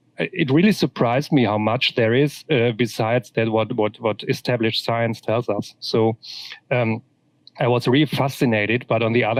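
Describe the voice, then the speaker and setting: Talking at a fairly quick pace, a man with a German accent keeps his loudness very even. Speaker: author. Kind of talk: interview. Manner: halting, many repetitions.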